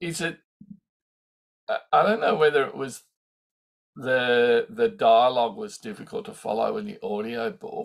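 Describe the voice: A man with a medium pitch sounds croaky, with vocal fry and big pitch swings. He speaks at a fairly slow pace, with long, frequent pauses.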